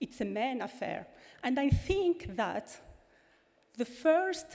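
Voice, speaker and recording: Speaking very slowly with a French accent, a woman uses a dark, mellow tone and very wide pitch swings. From France. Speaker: former member of parliament. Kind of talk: conference speech. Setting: stage with audience. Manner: halting.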